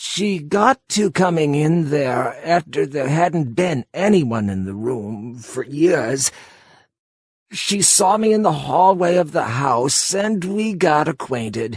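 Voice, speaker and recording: A put-on character voice from a man, fairly high and shaky, at a fairly slow pace with very wide pitch swings. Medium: read story. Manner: halting, confessional.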